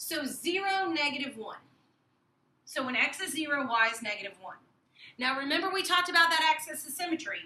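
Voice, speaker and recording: A raised, projected voice with a bright, sharp tone, lively intonation, long, frequent pauses and audible room echo. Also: woman, high pitch for a woman. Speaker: math teacher. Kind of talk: tutorial. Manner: fast. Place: classroom. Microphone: camera far.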